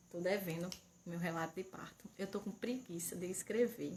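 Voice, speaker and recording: Soft-spoken and somewhat breathy, a woman talks at a moderate pace. Her pitch shows ordinary variation. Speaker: mother and channel owner. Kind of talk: casual livestream chat. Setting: home livestream. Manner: speaking softly.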